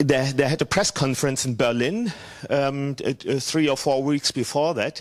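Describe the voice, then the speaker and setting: Recorded with a dry, close sound and no echo, a man with a German accent talks at a moderate pace over noticeable background noise. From Hesse, Germany. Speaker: church worker. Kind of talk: conference presentation. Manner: halting.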